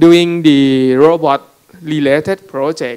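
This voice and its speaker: Speaking with a Thai accent, a man uses fairly even intonation at a fairly high pitch. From Thailand. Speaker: robotics startup CEO; panelist. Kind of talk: panel talk with slides. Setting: conference room with audience. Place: hall. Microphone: handheld.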